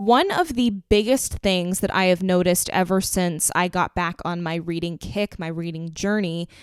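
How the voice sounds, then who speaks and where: A woman's medium-pitched voice with fairly even intonation at a moderate pace, hardly any pauses, a dry, close sound with no echo, and noticeable background noise. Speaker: book podcast host. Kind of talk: casual solo podcast talk. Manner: low-energy, subdued.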